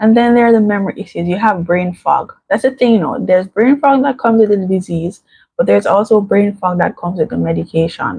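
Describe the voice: Soft-spoken and breathy, a woman at a medium pitch speaks at a moderate pace with a dark, mellow tone, a slightly husky edge, vocal fry and ordinary pitch variation.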